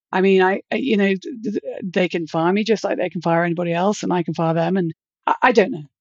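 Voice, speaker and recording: A woman talks at a very fast pace in a British accent. Her pitch is medium, with ordinary variation. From Britain. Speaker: virtual security executive, consultant. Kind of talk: podcast interview.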